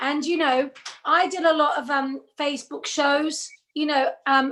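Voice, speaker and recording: A woman speaks with an English accent at a high pitch. Her pace is fairly slow, with ordinary pitch variation. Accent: sounds English rather than Australian. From Australia. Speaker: singer and tribute artist. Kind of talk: casual chat. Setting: video call.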